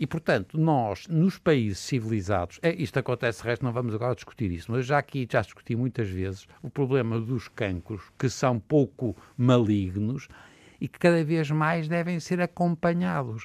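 A man at medium pitch in an ordinary speaking voice, moderate pace, dry, close sound with no echo, and a very clean recording with a silent background. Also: lively intonation. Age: 60s. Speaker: physician. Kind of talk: panel discussion.

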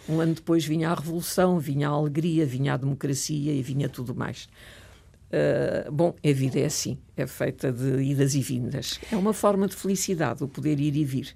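A woman with a very deep, low pitch and a dark, mellow tone talks at a moderate pace with ordinary pitch variation. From Portugal, Lisbon. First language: French (speaking Portuguese). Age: 70s. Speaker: retired professor and writer. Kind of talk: interview.

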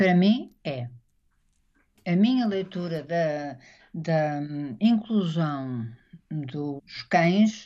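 Over a quiet background, a woman with a fairly low pitch and a dark, mellow tone speaks at a very slow pace with lively intonation and long, frequent pauses. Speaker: author. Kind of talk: interview.

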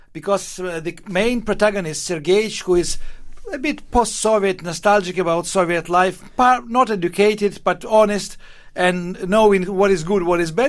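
This man has a high voice with ordinary pitch variation. He talks at a fairly slow pace. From Ukraine. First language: Russian (speaking Portuguese). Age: 60s. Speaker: novelist. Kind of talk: interview.

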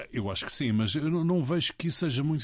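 On a very clean recording with a silent background, a man speaks. His pitch swings very widely. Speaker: political communication consultant. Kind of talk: interview. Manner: halting.

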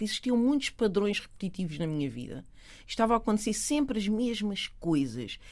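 A woman with a medium-pitched voice uses very wide pitch swings. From Portugal, Lisbon south bank. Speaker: educational consultant. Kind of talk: casual chat.

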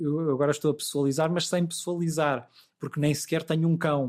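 The recording is very clean, with a silent background. A man talks at a high pitch. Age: 40s. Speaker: law professor. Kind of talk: interview.

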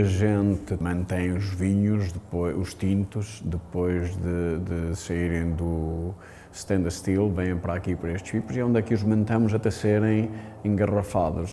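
A man speaks at a fairly slow pace. His fairly low voice has a dark, mellow tone. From Portugal. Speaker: businessman and wine producer. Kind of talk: interview.

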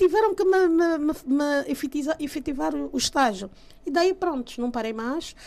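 Dark, mellow tone, lively intonation and a fairly slow pace. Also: woman. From Angola. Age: 40s. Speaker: journalist and rapper. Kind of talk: interview testimony.

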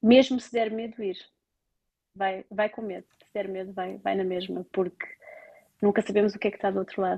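A woman with a medium pitch and a dark, mellow tone speaks at a moderate pace in a monotone, flat intonation, with long, frequent pauses and a dry, close sound with no echo. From Portugal, Lisbon area. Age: 30s. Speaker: Portuguese expatriate working in health research in Ireland. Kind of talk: interview, casual conversation about life abroad.

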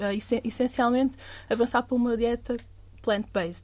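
A woman's high, dark and mellow voice at a fairly quick pace, in a very clean recording with a silent background. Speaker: NGO fisheries coordinator. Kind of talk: casual chat.

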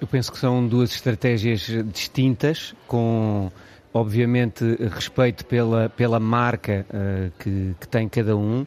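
At a very slow pace, a man talks at a medium pitch with fairly even intonation. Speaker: communication lecturer and football fan. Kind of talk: radio panel discussion.

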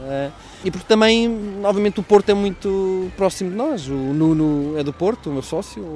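Lively intonation from a man, noticeable background noise behind it. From Portugal, Coimbra.

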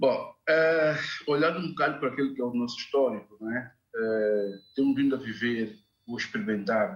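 A man has an unremarkable speaking voice with ordinary pitch variation. He talks at a fairly slow pace. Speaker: NGO representative. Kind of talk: televised political debate. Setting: video call.

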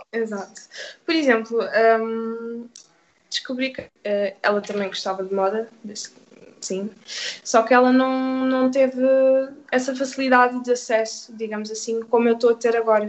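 Long, frequent pauses break up a woman's speech, which has a fairly high pitch, fairly even intonation and a moderate pace. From Portugal, Oeiras (Lisbon area). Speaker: youth community worker. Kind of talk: radio interview.

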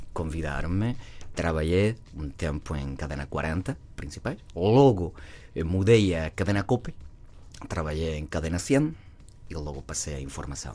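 The voice is dark and mellow with lively intonation, moving at a fairly slow pace with long, frequent pauses. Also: man, very deep, low pitch for a man. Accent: southern Spanish. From southern Spain, Cádiz. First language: Spanish (speaking Portuguese). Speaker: actor. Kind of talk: casual chat. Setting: studio.

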